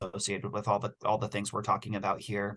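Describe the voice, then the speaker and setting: A man speaks in a somewhat breathy voice. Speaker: city utility staff presenter. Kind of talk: virtual public meeting Q&A. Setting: video call. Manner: fast.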